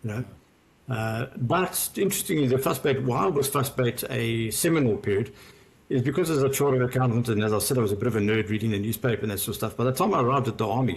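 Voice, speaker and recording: Talking at a very fast pace, a man with a medium-pitched voice sounds somewhat breathy. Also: ordinary pitch variation. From South Africa, Johannesburg. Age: 60s. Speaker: former investment banker turned wealth adviser. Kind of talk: podcast interview.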